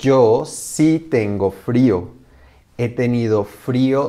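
A man speaks at a very slow pace in a dark, mellow tone. The background is quiet. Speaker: actor in a language lesson skit. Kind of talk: scripted slow conversation for learners.

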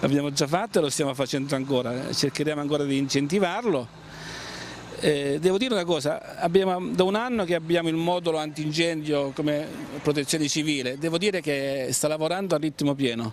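Against light background noise and a dry sound with no echo, a man speaks fairly quickly in a fairly high voice with ordinary pitch variation. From Abruzzo, Italy. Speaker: mayor. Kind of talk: interview. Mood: calm, mildly concerned. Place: street. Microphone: handheld.

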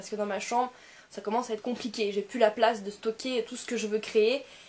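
Using an ordinary speaking voice, she keeps her fairly high pitch on a fairly even line. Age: 20s. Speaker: YouTuber. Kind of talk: vlog to camera. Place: home room. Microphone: phone near.

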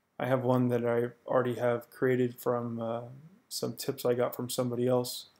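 Flat and monotone, a man's dark, mellow voice sits at a medium pitch and moves at a moderate pace. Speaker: photographer. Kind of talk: software tutorial. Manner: casual, hesitant with fillers.

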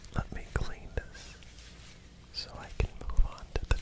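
Whispering at a very slow pace, in a gentle tone. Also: man. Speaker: ASMR creator. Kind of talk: ASMR whispered triggers video. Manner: whispered, gentle. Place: home room. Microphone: studio mic.

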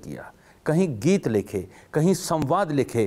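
A man speaks at a very slow pace in a fairly high pitch, his voice showing vocal fry. His pitch swings very widely. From Haryana. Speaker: TV interview host. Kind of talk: show intro and outro; interview conversation. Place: studio. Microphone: lapel.

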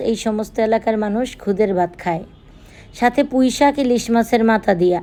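Her voice has a central Bangladeshi accent and a fairly high pitch. This woman's tone is dark and mellow, with ordinary pitch variation. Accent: Narayanganj regional Bengali dialect. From Bangladesh, Narayanganj. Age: middle-aged. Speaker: cooking vlogger. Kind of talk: casual vlog narration.

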